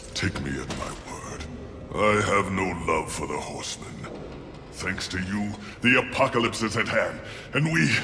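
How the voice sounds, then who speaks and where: A man's put-on character voice, fairly low in pitch, at a moderate pace with long, frequent pauses, clear echo, and clear background noise. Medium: video game. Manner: grandiloquent, measured.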